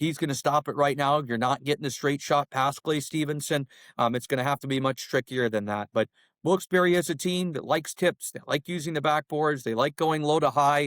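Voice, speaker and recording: Here a man talks at a fairly quick pace in a plain, everyday voice, pitched fairly high with ordinary pitch variation. The sound is dry and close, with no echo. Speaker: radio play-by-play announcer, hockey guest. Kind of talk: podcast interview answer, hockey analysis.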